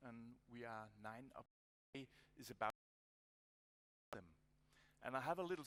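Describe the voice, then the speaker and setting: A man with a Danish accent at medium pitch, ordinary pitch variation, big swings in loudness, a moderate pace, and long, frequent pauses. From Denmark. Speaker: conference speaker. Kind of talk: conference presentation. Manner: halting.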